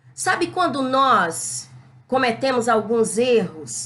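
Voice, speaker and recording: A woman delivers her words very slowly and with lively intonation while noticeable background noise plays behind her. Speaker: Bible teacher. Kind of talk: Bible lesson. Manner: loud; not gentle, can sound hard. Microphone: records without a microphone.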